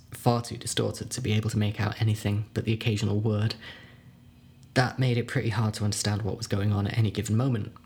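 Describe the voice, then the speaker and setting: Somewhat breathy, a man talks at a fairly quick pace in a medium-pitched voice. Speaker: horror story narrator. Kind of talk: dramatic narration. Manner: suspenseful, hushed, building dread; measured pacing with wry, halting pauses.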